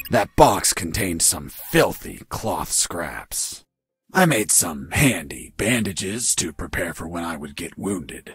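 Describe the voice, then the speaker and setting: A man puts on a cartoonish character voice, very deep and low, raspy and deadpan yet with lively intonation, moving at a fairly slow pace. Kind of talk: hard-boiled voice-over parody. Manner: deadpan, gruff.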